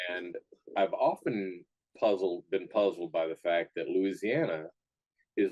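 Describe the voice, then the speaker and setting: The sound is dry and close, with no echo. A man with an American accent speaks at a moderate pace. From Texas. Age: 60s. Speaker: chef and barbecue restaurant owner. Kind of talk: interview. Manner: conversational with frequent fillers.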